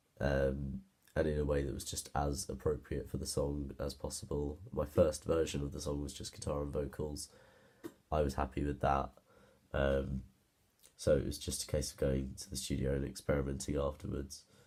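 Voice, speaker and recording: A man with a British accent speaks at a moderate pace in a very deep, low voice with vocal fry. His tone is dark and mellow, and his intonation is monotone and flat. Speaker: music student. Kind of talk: presentation. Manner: halting.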